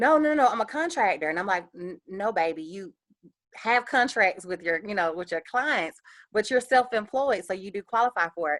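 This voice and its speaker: With a Southern US accent, a woman talks at a fairly quick clip in a medium pitch, her intonation lively. The sound is dry and close with no echo, on a very clean recording with a silent background. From US South, Columbus, Georgia. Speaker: small business owner, panel speaker. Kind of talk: panel Q&A. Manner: fast.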